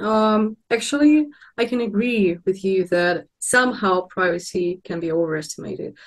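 In a Russian accent, a woman speaks at a moderate pace with lively intonation against a quiet background. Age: young. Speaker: philosophy student. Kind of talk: panel discussion; conversational discussion. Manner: halting, many fillers. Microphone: video call.

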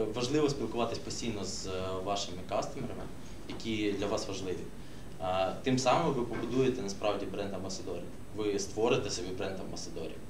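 Over noticeable background noise, a man with a fairly low pitch talks at a fairly quick pace with ordinary pitch variation. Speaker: social media marketer. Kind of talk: workshop discussion. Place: meeting room. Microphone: camera far.

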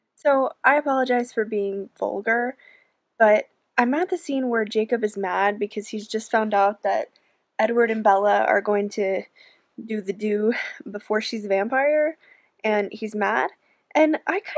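Against a quiet background, a woman speaks at a fairly slow pace with ordinary pitch variation and long, frequent pauses. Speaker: book vlogger. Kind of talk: casual vlog chat. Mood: amused, mildly exasperated. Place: home room. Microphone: phone near.

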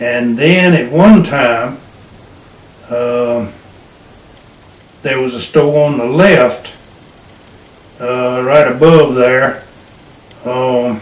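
With a North Carolina accent, a man at medium pitch talks at a very slow pace with ordinary pitch variation and long, frequent pauses, and audible room echo around him. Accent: Southern American (North Carolina). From Hillsborough, North Carolina. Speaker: World War II Navy veteran, retired farmer. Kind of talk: interview answer. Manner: hesitant, searching for words. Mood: relaxed reminiscing. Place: home room. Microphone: camera far.

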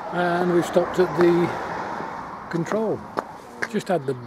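A man's voice with loud background noise and a dry sound with no echo. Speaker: cyclist vlogger. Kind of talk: casual vlog chat. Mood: cheerful, upbeat. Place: open country. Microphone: phone near.

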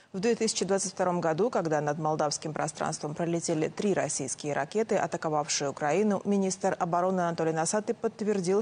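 Pitch moves with ordinary variation. The delivery keeps a moderate pace. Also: woman. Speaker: news anchor. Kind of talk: news reading. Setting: studio. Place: studio. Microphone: lapel.

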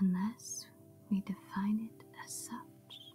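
Soft-spoken delivery at a very slow pace, with faint music in the background. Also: woman. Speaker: ASMR meditation guide. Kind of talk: meditation reading. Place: home room.

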